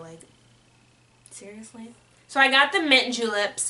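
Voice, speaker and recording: Over noticeable background noise, a woman speaks with an American accent, her high pitch carried by lively intonation. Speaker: beauty vlogger. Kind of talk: casual product review vlog. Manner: rambling.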